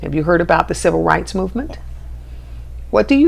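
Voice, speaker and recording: Noticeable background noise surrounds a woman who rattles along very fast in an American accent. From Houston, Texas. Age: 60s. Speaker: nonprofit leader. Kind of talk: interview.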